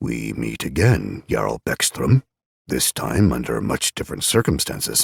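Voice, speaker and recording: In a put-on character voice, a man speaks in a stern tone at a very deep, low pitch. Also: moderate pace. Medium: read story. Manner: stern, stony, measured.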